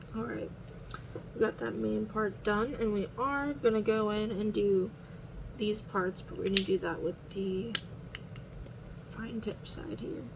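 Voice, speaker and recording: Quiet and with long, frequent pauses, a woman speaks with ordinary pitch variation. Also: medium pitch for a woman, fairly slow pace. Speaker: coloring hobby video creator. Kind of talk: casual narration while coloring. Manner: quiet, low-key.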